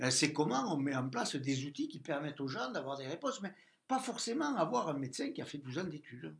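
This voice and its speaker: This man talks at a fairly quick pace. His fairly high pitch carries lively intonation. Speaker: president of a patients' association. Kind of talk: interview.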